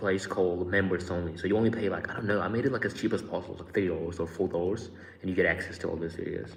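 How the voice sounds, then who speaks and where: Somewhat breathy and very deep in pitch, a man speaks with fairly even intonation and a slight Australian accent. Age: 20s. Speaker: YouTuber. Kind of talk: live stream chat. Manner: casual.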